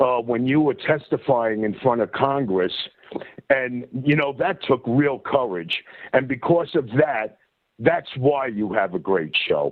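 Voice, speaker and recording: Speaking with a New York accent, a man uses lively intonation at a medium pitch and a fairly slow pace. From US Northeast, New York. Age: 60s. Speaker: caller. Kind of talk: call-in conversation. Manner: halting, many fillers.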